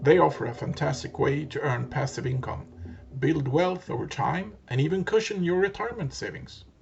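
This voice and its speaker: The speaker has a non-native accent, vocal fry and lively intonation. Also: man. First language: not English. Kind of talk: educational finance narration.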